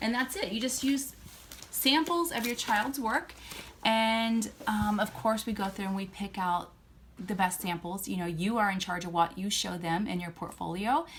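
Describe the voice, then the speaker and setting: With lively intonation and a moderate pace, a woman talks at a medium pitch in an unremarkable speaking voice. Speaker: homeschooling parent vlogger. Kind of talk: tutorial.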